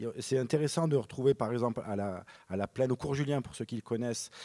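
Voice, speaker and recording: A man with a Marseille accent speaks at medium pitch with ordinary pitch variation and a dark, mellow tone, recorded dry and close with no echo. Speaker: film director. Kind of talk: panel discussion. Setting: stage with audience. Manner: halting, many repetitions; low energy.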